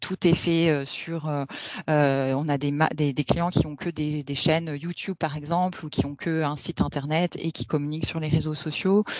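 A woman with a very deep, low pitch and monotone, flat intonation. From France. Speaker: corporate lawyer. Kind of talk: interview. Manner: hesitant, many fillers.

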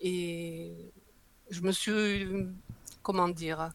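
This is a woman's voice. The pitch is medium. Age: 70s. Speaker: breastfeeding advocate and author. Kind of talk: interview.

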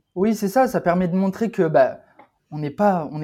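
A man's dark, mellow tone is heard on a very clean recording with a silent background. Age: 20s. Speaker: charcutier. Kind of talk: casual chat. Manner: halting.

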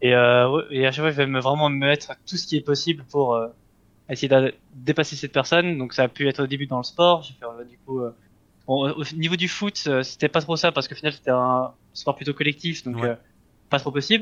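Recorded dry and close with no echo, a man talks at a moderate pace with fairly even intonation and big swings in loudness. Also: fairly high pitch for a man. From Switzerland. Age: 20s. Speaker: esports player. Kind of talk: interview. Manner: halting, many fillers.

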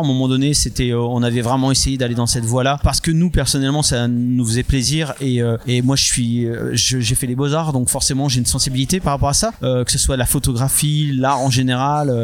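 A man speaks fairly quickly at a medium pitch, with hardly any pauses and very even loudness. Noticeable background noise is present. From France. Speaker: comics artist and publisher. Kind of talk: interview. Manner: hesitant, many fillers.

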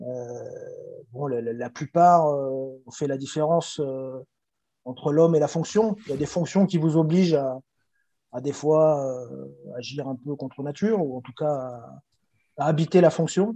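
At a fairly slow pace, a fairly high-pitched man speaks with ordinary pitch variation and big swings in loudness. Long, frequent pauses break up his speech. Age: 40s. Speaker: handball coach and former pro player. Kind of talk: interview. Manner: hesitant, many fillers and repetitions.

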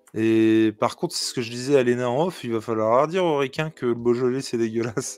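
A man speaks with a regional French accent at medium pitch and ordinary pitch variation. His pace is fairly quick, with hardly any pauses. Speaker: podcast co-host. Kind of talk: casual chat.

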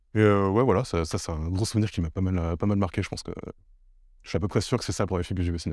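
A man talks at a very fast pace. His voice is very deep and low, with fairly even intonation. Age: 20s. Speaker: podcast host, videographer. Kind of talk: casual chat. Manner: halting.

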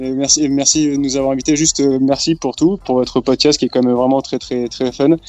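A man with a fairly high pitch and monotone, flat intonation talks at a fairly quick pace with hardly any pauses. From France. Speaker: podcast listener invited on the show. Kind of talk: casual chat. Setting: video call.

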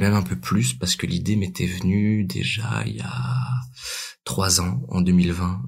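A man talks at a very slow pace in a very deep, low pitch with vocal fry and very wide pitch swings, and audible room echo is present. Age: 20s. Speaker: amateur actor and writer. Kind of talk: casual interview.

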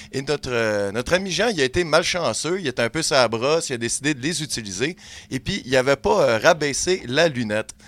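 A man talks in a plain, everyday voice at a fairly high pitch, with lively intonation and a fairly quick pace. The sound is dry and close, with no echo. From Quebec, Montreal. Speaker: comedy podcast columnist. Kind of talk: humorous storytelling. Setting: studio.

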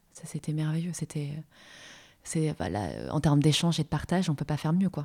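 On a very clean recording with a silent background, a woman with a very deep, low, somewhat breathy voice and a dark, mellow tone speaks at a fairly quick pace in a monotone, flat intonation, with big swings in loudness and long, frequent pauses. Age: 30s. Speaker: career change coach. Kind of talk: casual interview.

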